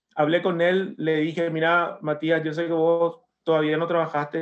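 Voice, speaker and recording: A man speaks in a fairly high voice with monotone, flat intonation. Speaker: writer and metal musician. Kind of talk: interview.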